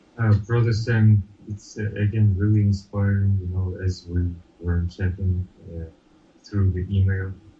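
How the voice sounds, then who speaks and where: With music in the background, a man with a Russian accent speaks in a fairly low, monotone, flat voice at a fairly slow pace. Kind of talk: casual chat. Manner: halting.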